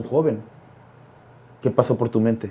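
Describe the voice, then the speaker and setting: A man's voice with a dark, mellow tone. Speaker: podcast host. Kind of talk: interview.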